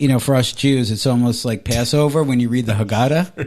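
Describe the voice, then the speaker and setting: A moderate pace with ordinary pitch variation. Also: man. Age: 40s. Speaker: podcast co-host. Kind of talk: casual chat. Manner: animated.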